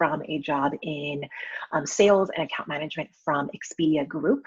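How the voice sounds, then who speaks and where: A woman with an American accent has a plain, everyday voice, lively intonation and a moderate pace. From San Francisco Bay Area, California. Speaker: account manager and wedding photographer. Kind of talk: personal testimony in a panel interview. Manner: many filler ums.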